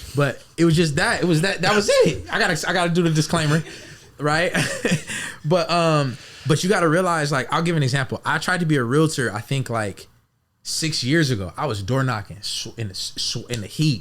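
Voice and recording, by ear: A man's fairly high-pitched, fairly bright voice at a moderate pace, with ordinary pitch variation.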